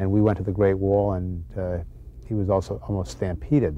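Speaking at a fairly quick pace, a man with a very deep, low pitch and ordinary pitch variation sounds dry, with no echo. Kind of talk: interview answer. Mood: warm, fond recollection.

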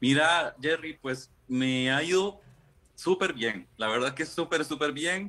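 A man talks at a very slow pace. His voice is fairly high, with a bright, sharp tone. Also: ordinary pitch variation. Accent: Costa Rican. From Costa Rica. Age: 30s. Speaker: guest sharing personal experience; guest. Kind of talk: casual interview. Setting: remote video call. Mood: personal, reflective. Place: home room. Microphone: video call.

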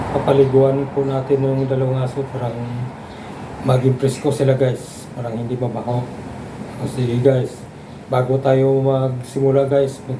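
A man speaks at a fairly slow pace, with a medium pitch and monotone, flat intonation, with audible room echo and noticeable background noise. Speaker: vlogger. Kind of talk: casual vlog narration. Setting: outdoors by a roadside.

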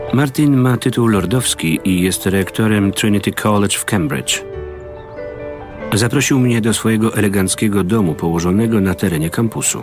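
Clear music plays behind a man speaking at a fairly low pitch and moderate pace, with ordinary pitch variation. The sound is dry, with no echo. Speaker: voice-over reader. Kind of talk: documentary voice-over narration. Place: studio. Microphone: studio mic.

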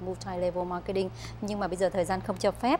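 A woman speaks over light background noise. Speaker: talk show host. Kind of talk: interview. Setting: studio. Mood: polite, warm. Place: studio. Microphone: lapel.

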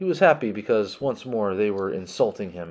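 The recording has an unforced reading voice.

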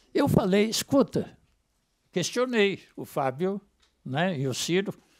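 Against a quiet background, a man with a high voice speaks at a fairly slow pace, his pitch swinging very widely. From São Paulo interior, Piracicaba; São Paulo state. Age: old. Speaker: trade unionist; speaker. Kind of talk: testimony. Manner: halting. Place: hall. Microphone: lapel.

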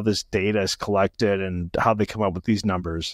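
A plain, everyday voice from a man at a moderate pace against a quiet background. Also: dry sound with no echo. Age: 40s. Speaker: podcast host. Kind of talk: interview. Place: home room. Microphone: studio mic.

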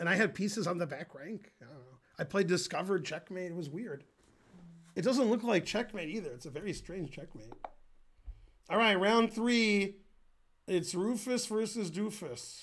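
A man with a high pitch talks with lively intonation and big swings in loudness. He leaves long, frequent pauses. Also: moderate pace. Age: 50s. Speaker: chess grandmaster streamer. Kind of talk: live stream chess commentary. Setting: live stream. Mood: joking, relaxed. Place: home room.

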